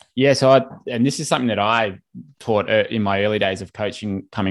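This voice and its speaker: A man with a fairly low pitch and an Australian accent, very fast pace, fairly even intonation, and a very clean recording with a silent background. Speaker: swim coach. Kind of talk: interview, coaching advice.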